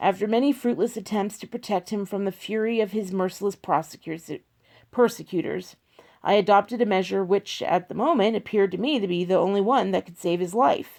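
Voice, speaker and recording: A woman puts on a raspy character voice at medium pitch, moving at a fairly quick pace. The recording is very clean, with a silent background. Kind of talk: solemn dramatic reading of an old text. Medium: read story. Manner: formal, measured, archaic phrasing.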